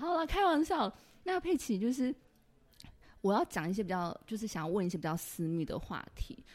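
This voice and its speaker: An animated woman's voice, fairly high-pitched, with a Taiwanese accent, very wide pitch swings, a moderate pace and long, frequent pauses. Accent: Taiwanese Mandarin. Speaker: podcast host. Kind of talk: casual interview chat. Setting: office.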